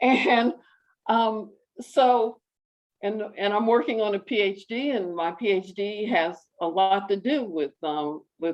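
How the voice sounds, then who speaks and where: With an American accent, a woman speaks at a medium pitch, her voice swinging very widely up and down. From United States. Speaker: PhD student, audience member asking a question. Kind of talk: question from the audience at an online panel.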